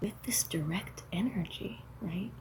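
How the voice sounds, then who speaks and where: A soft-spoken woman talks at a very slow pace. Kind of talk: casual talk to camera.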